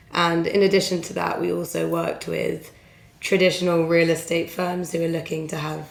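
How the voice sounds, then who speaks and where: A woman speaks with an English accent. Audible room echo surrounds her voice. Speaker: recruitment consultant. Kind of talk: podcast interview.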